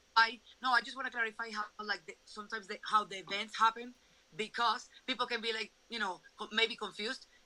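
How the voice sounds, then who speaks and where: A woman speaks fairly quickly in a Venezuelan accent, her tone bright and sharp and her pitch fairly high. Her intonation stays monotone and flat while her loudness swings widely. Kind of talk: testimony.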